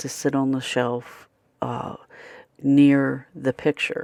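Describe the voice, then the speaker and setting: In an American accent, the speaker goes at a very slow pace on a very clean recording with a silent background. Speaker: craft tutorial creator. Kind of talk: tutorial. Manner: casual, chatty.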